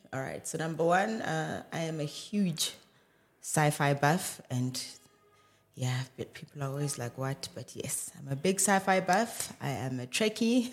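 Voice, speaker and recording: A man's fairly high voice with a South African accent, lively intonation and a fairly slow pace, over music in the background. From South Africa, Johannesburg. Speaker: medical doctor. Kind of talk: casual chat.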